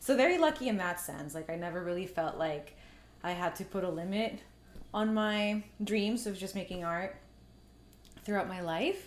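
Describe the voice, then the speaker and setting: A woman's voice with long, frequent pauses and audible room echo. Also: medium pitch for a woman, ordinary pitch variation, moderate pace. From Mexico, moved to Canada at eight. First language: Spanish. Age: 30s. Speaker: artist and filmmaker. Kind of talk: casual interview conversation. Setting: at her home.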